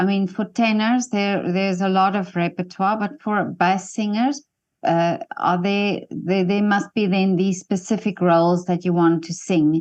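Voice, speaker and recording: An unremarkable speaking voice from a woman, medium in pitch, at a fairly slow pace with fairly even intonation over a quiet background. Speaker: interviewer. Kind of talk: interview questions.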